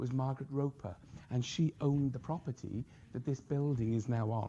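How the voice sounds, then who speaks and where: A somewhat breathy man with a Welsh accent speaks in a dark, mellow tone. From Wales. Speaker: professor. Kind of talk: lecture. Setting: stage with audience.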